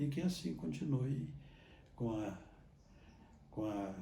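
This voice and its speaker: A man speaks very slowly with lively intonation and a dark, mellow tone. His voice is somewhat breathy, and room echo is audible. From Minas Gerais, Brazil (Botelhos). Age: 80s+. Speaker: Capuchin friar and priest. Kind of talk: interview testimony. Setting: sanctuary church. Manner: halting, with repetitions.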